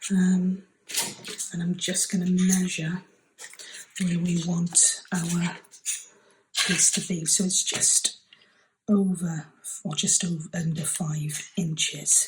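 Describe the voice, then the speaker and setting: A soft-spoken woman with a somewhat breathy voice talks at a very slow pace in a medium pitch, with monotone, flat intonation and long, frequent pauses. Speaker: craft channel host. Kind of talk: tutorial. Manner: hesitant with many fillers.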